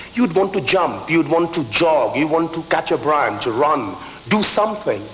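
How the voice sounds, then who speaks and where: High-pitched man with an Indian accent, lively intonation and a moderate pace, over noticeable background noise. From eastern India, Calcutta. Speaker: business school professor. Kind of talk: conference speech. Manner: repeats words, slight stammer.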